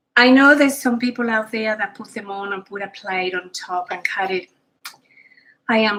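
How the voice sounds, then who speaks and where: The voice carries a Spanish accent at a moderate pace. Pitch varies in an ordinary way. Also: woman. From Spain. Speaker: cooking show host. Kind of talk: cooking tutorial. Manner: casual, chatty with many fillers.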